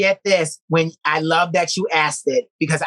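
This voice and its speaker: A woman speaks in an ordinary speaking voice, fairly low in pitch and fairly slow, with fairly even intonation and a dry, close sound with no echo. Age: 30s. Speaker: musical performer. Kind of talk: interview conversation.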